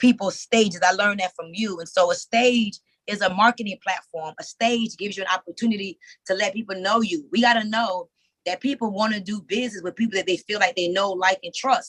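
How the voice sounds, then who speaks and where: At a fairly quick pace, a woman speaks in an animated tone at a medium pitch with ordinary pitch variation, in a dry, close sound with no echo. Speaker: motivational speaker and entrepreneur. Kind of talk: live webinar talk. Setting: Zoom video call. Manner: casual, plain-spoken.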